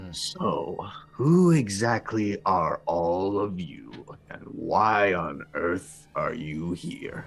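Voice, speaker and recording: A man uses a put-on character voice at a very slow pace, with faint music in the background. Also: medium pitch for a man, hardly any pauses. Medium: actual play. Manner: haughty, sarcastic.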